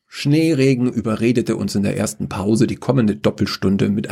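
A man's voice with vocal fry, a dark, mellow tone and very wide pitch swings. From Upper Bavaria. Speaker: podcast host and author. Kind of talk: reading aloud a short story.

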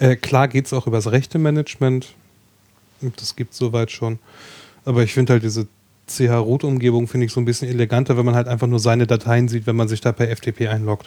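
Dark and mellow in tone, a man's medium-pitched voice runs at a fairly quick pace with monotone, flat intonation. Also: dry, close sound with no echo. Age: 30s. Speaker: podcast hosting project operator. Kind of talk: casual chat.

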